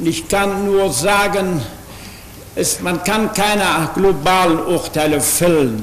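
The man's pitch is high, with ordinary variation. He speaks at a very slow pace with long, frequent pauses, and room echo is audible. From Germany, Berlin; Germany. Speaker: pastor and witness; witness. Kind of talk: testimony. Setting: courtroom. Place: hall. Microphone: podium.

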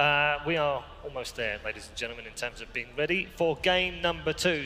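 Over music in the background, a man speaks at a fairly high pitch. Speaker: desk host. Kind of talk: studio desk hosting. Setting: arena stadium. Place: stage. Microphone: headset.

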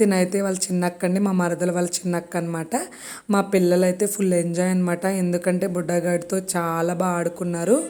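A woman talks at a fairly low pitch in a flat monotone. Noticeable background noise sits behind her. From Konaseema, Andhra Pradesh. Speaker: family vlogger. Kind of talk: casual vlog narration.

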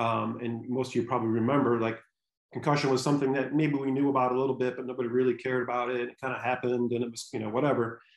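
A man with an American accent speaks at a very fast pace in a monotone, flat intonation. The background is quiet, and there is audible room echo. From Michigan. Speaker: sports neurologist; presenter. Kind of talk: lecture. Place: home room. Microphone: webcam.

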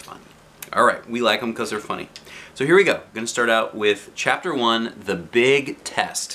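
A natural voice reading text aloud

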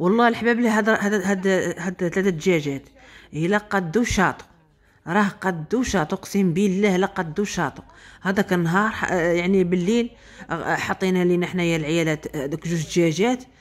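A woman at medium pitch and moderate pace, with ordinary pitch variation. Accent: Moroccan. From Morocco. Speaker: vlogger. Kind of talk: casual vlog monologue. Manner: spontaneous, animated. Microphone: phone near.

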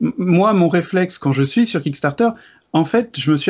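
The background is quiet while a man speaks. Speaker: board game video creator. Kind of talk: casual debate. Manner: energetic. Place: home room.

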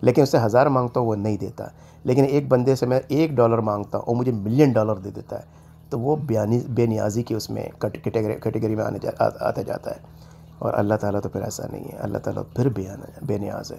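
With a dark, mellow tone and vocal fry, a man speaks at a medium pitch and moderate pace with fairly even intonation. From Pakistan, Karachi. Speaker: YouTuber. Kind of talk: casual vlog monologue.

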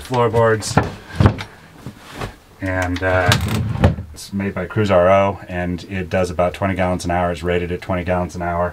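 Loud background noise runs behind a man speaking at a moderate pace. He leaves long, frequent pauses. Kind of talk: casual tour explanation. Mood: relaxed, joking. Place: boat. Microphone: camera far.

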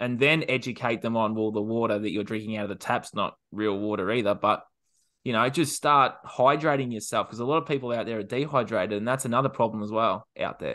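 In a quiet background, a man with an Australian accent speaks at a fairly quick pace, with a medium pitch and ordinary pitch variation. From Australia, regional Victoria. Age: 20s. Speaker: self sabotage coach. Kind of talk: roundtable discussion. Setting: video call. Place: home room. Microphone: video call.

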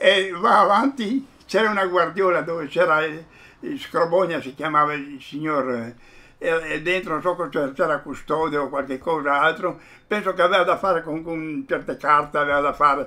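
This man has a bright, sharp tone at a fairly high pitch. He keeps a moderate pace with ordinary pitch variation. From Fiume (Rijeka), Croatia; Croatia. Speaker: witness interviewee; witness. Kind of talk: oral history interview. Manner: halting, repeats words. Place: home room.

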